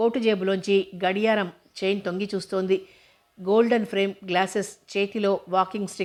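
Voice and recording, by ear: Someone reads aloud naturally, keeping the intonation fairly level.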